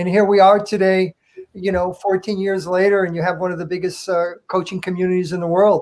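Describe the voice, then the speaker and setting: Speaks with an American accent at a fairly quick clip. The intonation stays flat and monotone. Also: man, high pitch for a man. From US Northeast, Connecticut. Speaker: goalkeeper coach. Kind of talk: interview.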